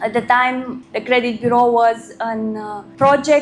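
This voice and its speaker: A woman with a Romanian accent speaks at a moderate pace in a high pitch, her intonation fairly even, over noticeable background noise. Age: 30s. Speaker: credit risk consultant. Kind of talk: workshop talk.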